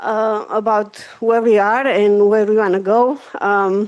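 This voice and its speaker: A woman with a Romanian accent speaks at a medium pitch over a quiet background. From Romania, Carpathian Mountains. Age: 50s. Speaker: hospital executive. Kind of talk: public presentation. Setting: community board meeting.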